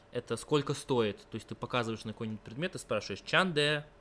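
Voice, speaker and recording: Very fast and bright, sharp in tone, a man talks at a medium pitch with ordinary pitch variation. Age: 20s. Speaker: university student of Persian. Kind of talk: interview.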